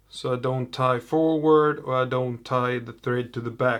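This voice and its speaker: A man speaks at a fairly slow pace in a monotone, flat delivery. The recording is very clean, with a silent background. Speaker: fly tier. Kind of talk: tutorial. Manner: halting.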